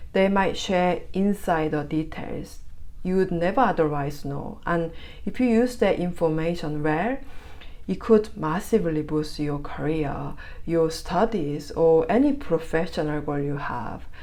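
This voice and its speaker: Through audible room echo, a woman with a Korean accent speaks at a fairly low pitch, her tone dark and mellow, her intonation lively. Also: fairly slow pace. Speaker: tarot reader. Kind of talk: tarot reading; casual chat. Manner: halting, filler words.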